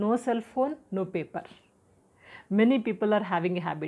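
The background is quiet. A voice with an Indian accent carries lively intonation. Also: woman. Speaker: health and personality development educator; personality development educator. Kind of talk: tutorial talk to camera. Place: home room.

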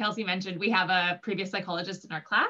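Her pace very fast, a woman speaks with monotone, flat intonation. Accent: Canadian Prairie. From southern Manitoba. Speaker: physician assistant student. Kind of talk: Q&A panel answers. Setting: live online Q&A. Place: home room. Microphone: video call.

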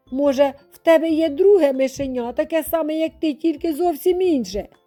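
Faint music plays behind a woman's shaky, put-on character voice, pitched high and delivered at a moderate pace. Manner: hesitant, fearful.

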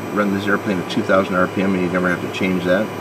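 Loud background noise sits behind a man's speech. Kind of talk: tutorial. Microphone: phone near.

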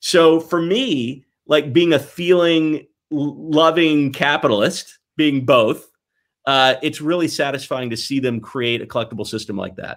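Against a quiet background, someone with an American accent speaks at a fairly slow pace with ordinary pitch variation. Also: man. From US South (Mississippi, Tennessee). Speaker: toy company executive. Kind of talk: podcast interview. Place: home room.

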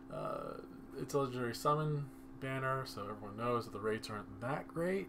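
A man speaks quietly at a fairly quick pace. Room echo is audible around his voice. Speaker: mobile game youtuber. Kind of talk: gaming commentary. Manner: kept quiet.

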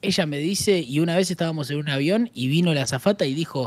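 In a Rioplatense accent, a man speaks with lively intonation and an animated tone, the sound dry with no echo. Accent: Argentine Rioplatense Spanish. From Argentina. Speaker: streamer. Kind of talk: casual chat while gaming. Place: home room. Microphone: studio mic.

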